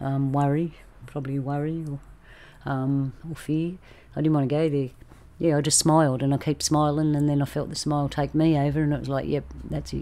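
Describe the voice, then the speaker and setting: With an Australian accent, a woman with a very deep, low pitch and a dark, mellow tone speaks at a moderate pace in a monotone, flat intonation. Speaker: roundtable host. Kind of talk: casual group discussion. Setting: video call.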